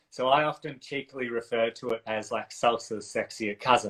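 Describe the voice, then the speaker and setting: Speaking at a moderate pace, a man with an Australian accent has a medium pitch. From country Australia (south coast NSW). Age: 30s. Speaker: dance and relationship coach. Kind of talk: casual interview chat.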